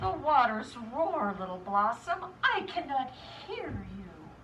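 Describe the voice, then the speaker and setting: With very wide pitch swings, this put-on character voice goes at a fairly slow pace over clear background noise. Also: woman, high pitch for a woman. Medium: read story.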